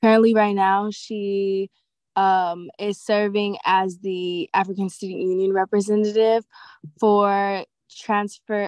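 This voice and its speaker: The delivery is monotone, with flat intonation. The sound is dry with no echo over a quiet background. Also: woman. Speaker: student giving public comment. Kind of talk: public comment statement. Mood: slightly nervous, supportive. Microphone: video call.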